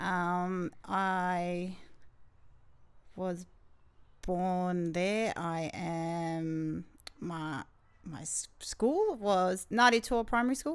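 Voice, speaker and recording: Speaking at a very slow pace, a woman with a New Zealand accent uses a medium pitch and ordinary pitch variation. Her loudness swings widely, and she leaves long, frequent pauses. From New Zealand, Porirua (Wellington). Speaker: gym owner and entrepreneur. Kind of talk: podcast interview.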